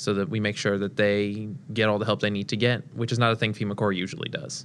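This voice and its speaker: A man with an unremarkable speaking voice, fairly low in pitch. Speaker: national service member. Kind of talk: interview.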